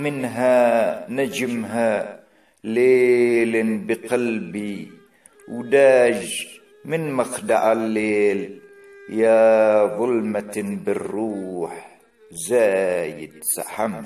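With music playing in the background, a man talks at a very slow pace in a medium pitch with ordinary pitch variation. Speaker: poet and reciter. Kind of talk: poetry reading.

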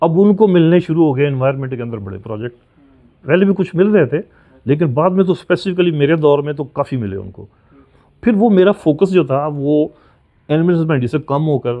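Over a quiet background, a man with an ordinary speaking voice talks at a moderate pace in a fairly high pitch with lively intonation. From Pakistan, Punjab. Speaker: retired scientist and consultant; guest. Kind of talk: interview. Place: home room.

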